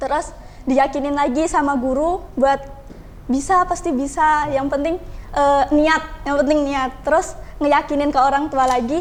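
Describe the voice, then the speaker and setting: Speaking at a fairly slow pace, a woman uses a high pitch with monotone, flat intonation. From Indonesia, Bengkulu (Javanese-speaking community). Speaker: college student. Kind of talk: podcast interview.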